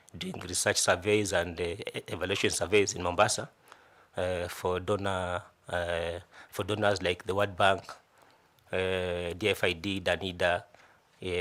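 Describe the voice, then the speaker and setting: A man with a Kenyan coastal accent speaks in a very deep, low voice. His delivery is flat and monotone, broken by long, frequent pauses. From Kenya, Kilifi County (coast). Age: 40s. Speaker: job interview candidate. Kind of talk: formal interview presentation. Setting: selection panel interview. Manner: halting, many repetitions and fillers.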